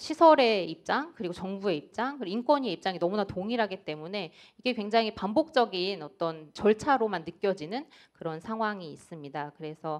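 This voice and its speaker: Very wide pitch swings in a woman's voice of medium pitch. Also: fairly quick pace. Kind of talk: panel discussion statement. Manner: fast.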